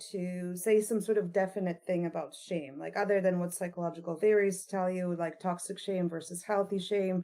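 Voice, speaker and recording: At a moderate pace, a woman talks with a dark, mellow tone. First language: not English; learned English as a teenager. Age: 40s. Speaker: author. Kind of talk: podcast interview.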